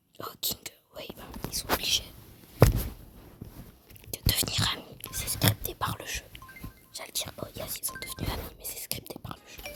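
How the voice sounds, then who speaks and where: Whispering at a moderate pace with long, frequent pauses, music in the background. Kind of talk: ASMR gaming commentary, casual talk while playing. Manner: casual, chatty, informal.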